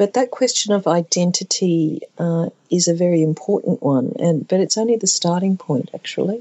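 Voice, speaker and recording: In an Australian accent, a woman with a fairly low voice speaks at a moderate pace with ordinary pitch variation, very even loudness and hardly any pauses. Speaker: contemporary artist. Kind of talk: interview.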